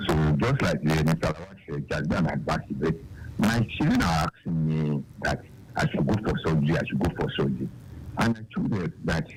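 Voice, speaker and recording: Through noticeable background noise, a man speaks fairly quickly in a very deep, low voice. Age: 60s. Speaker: caller. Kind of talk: phone-in question.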